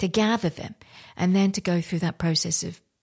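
A woman's somewhat breathy voice comes through on a very clean recording with a silent background. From India, raised in London, England. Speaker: artist. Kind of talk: interview.

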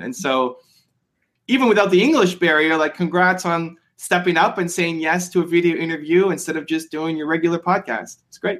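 Here a man speaks at a fairly high pitch. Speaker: entrepreneurship YouTuber. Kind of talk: interview. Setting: video call. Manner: fast.

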